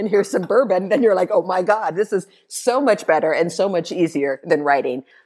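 In an unremarkable speaking voice, the speaker moves at a fairly quick pace with lively intonation. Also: woman, medium pitch for a woman. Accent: American. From US Northwest, eastern Washington State. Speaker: writer and writing teacher. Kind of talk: casual interview chat. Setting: in person, sitting together.

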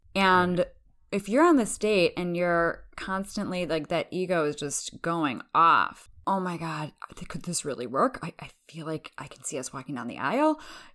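A woman with a normal speaking voice talks at a moderate pace and a fairly low pitch. The recording is very clean, with a silent background. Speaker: relationship coach. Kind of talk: casual interview chat.

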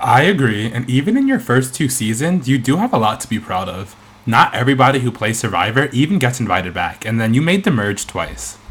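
In a plain, everyday voice with an American accent, a man speaks at a medium pitch. He goes at a fairly quick pace with lively intonation and hardly any pauses. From US, New York. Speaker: podcast host. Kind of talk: interview.

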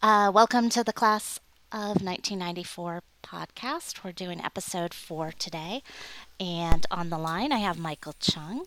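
At a medium pitch, a woman speaks fairly slowly in a bright, sharp tone, with ordinary pitch variation and big swings in loudness. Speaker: podcast host and class secretary. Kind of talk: casual interview.

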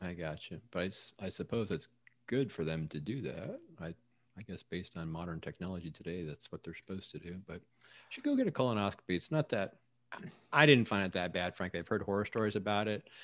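Over a very clean recording with a silent background, a man talks at a very fast pace in a very deep, low voice with ordinary pitch variation. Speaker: podcast co-host. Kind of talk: casual chat.

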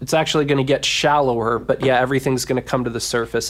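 Enthusiastic in tone, a man speaks at a very fast pace. He has a medium pitch and an American accent. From US Mid-Atlantic, Washington DC area. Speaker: web development teacher and author. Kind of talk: casual interview.

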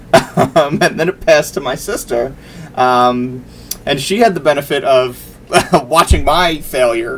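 Over noticeable background noise, a man with an American accent talks at a fairly slow pace. His voice is fairly high, with ordinary pitch variation. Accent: New York accent, varies by who he talks to. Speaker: video game podcast co-host. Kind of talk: casual chat. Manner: halting, many fillers and restarts.

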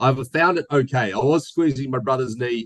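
Heard in a dry, close recording with no echo, a man with an Australian accent talks at a medium pitch in an animated tone. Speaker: podcast host. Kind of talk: casual chat. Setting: video call. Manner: joking, animated.

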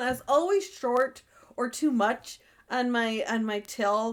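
This is a woman speaking. Her pitch is high. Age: 40s. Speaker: advice podcast co-host. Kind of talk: casual chat.

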